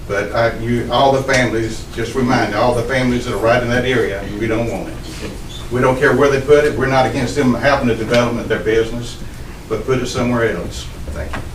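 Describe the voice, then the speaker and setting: Audible room echo and noticeable background noise surround a man's medium-pitched voice. He moves at a fairly quick pace with fairly even intonation. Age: 70s. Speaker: resident speaking at public hearing. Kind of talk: public comment. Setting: county planning meeting.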